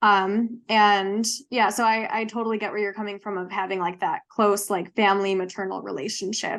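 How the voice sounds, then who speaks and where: A woman in an American accent, medium in pitch, with monotone, flat intonation and a moderate pace over a quiet background. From US Midwest, Wisconsin. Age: 20s. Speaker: podcast co-host. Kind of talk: casual chat.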